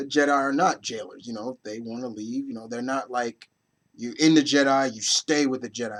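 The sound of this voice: Quiet background behind an unforced reading voice, pitch shifting in an ordinary way.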